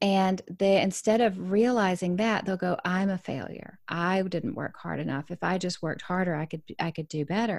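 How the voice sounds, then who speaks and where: A woman at medium pitch uses an ordinary speaking voice with ordinary pitch variation, at a moderate pace with hardly any pauses. The recording is very clean, with a silent background. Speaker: author, speaker and business coach. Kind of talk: casual chat.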